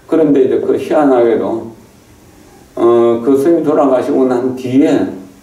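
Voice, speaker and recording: A man with a fairly high pitch, fairly even intonation and very even loudness, at a fairly slow pace, with audible room echo and noticeable background noise. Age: 70s. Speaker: Buddhist monk, temple abbot. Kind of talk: dharma talk. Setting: temple hall. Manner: halting, with fillers.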